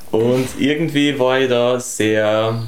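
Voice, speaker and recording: A man speaks at a medium pitch. Audible room echo and noticeable background noise surround him. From Austria, Tyrol. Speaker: singer-songwriter. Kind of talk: casual chat. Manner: halting, repeats words.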